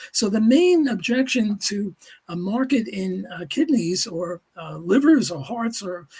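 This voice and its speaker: A man's high-pitched voice at a fairly slow pace, with lively intonation and big swings in loudness. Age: 80s+. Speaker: economics professor. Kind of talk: panel discussion. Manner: halting, many fillers.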